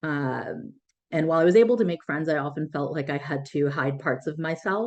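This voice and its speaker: Someone with an American accent speaks at a fairly quick pace, pitch moving in an ordinary way. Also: woman, very deep, low pitch for a woman. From US, raised by Sri Lankan Tamil immigrants. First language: Tamil. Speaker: breath practice teacher and yoga therapist. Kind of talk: podcast interview. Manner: hesitant, many fillers.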